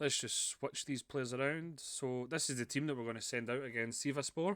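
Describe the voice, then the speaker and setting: A man talks with a Scottish accent. The recording is very clean, with a silent background. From Scotland. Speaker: video game streamer. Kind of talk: gameplay commentary. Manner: casual, chatty with fillers.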